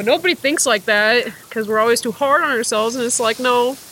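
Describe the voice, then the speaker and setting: Someone talks at a fairly quick pace against noticeable background noise. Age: 20s. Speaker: tattoo artist. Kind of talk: casual interview chat.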